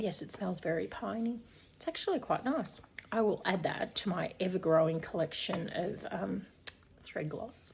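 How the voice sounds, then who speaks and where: A woman speaks at medium pitch. Noticeable background noise can be heard. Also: ordinary pitch variation, moderate pace. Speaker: cross stitch YouTuber. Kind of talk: casual unboxing vlog.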